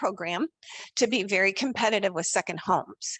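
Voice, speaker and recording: The sound is dry and close with no echo, set against a quiet background. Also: woman. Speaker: mortgage lender. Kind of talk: webinar presentation. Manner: loud.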